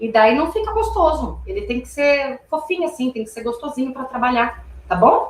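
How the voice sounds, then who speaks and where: This woman has a high pitch with very wide pitch swings. Her pace is moderate. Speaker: confectionery instructor. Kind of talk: live cooking class tutorial. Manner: chatty, informal.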